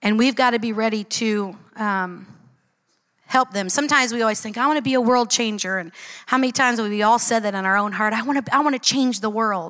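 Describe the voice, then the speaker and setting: At a fairly quick pace, a woman uses a normal speaking voice with a fairly high pitch and ordinary pitch variation. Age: 40s. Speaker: church teacher. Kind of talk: sermon.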